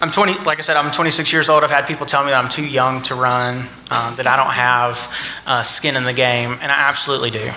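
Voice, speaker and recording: Talking at a very fast pace with fairly even intonation, a man with a medium-pitched voice is heard over noticeable background noise. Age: 20s. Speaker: political candidate. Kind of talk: candidate forum speech.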